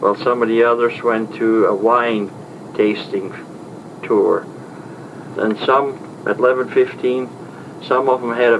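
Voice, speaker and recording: At a fairly slow pace, a man with an Upper Midwest US accent talks over noticeable background noise. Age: 60s. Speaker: traveler recounting a trip. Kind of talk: spoken diary report. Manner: halting.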